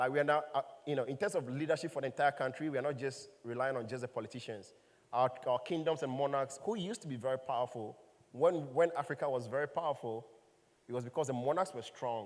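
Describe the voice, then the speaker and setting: Very fast and fairly high-pitched, a man speaks with a Ghanaian accent and ordinary pitch variation. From Ghana, Volta region. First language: Ewe. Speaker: startup founder and CEO. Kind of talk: panel conversation.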